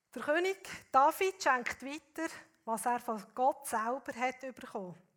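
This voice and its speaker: Speaking very slowly, a woman with a high pitch is heard in a very clean recording with a silent background. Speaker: guest preacher. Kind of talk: sermon.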